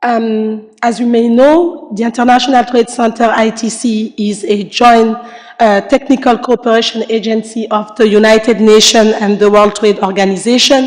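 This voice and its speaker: A woman with a fairly high pitch talks with hardly any pauses over noticeable background noise. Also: fairly even intonation, moderate pace. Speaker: panelist from international trade agency. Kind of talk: panel discussion. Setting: conference panel.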